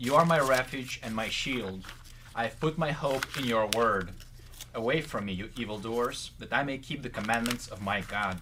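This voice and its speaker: A normal speaking voice comes through at a moderate pace with ordinary pitch variation. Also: man. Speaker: co-host reading scripture. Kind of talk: reading aloud.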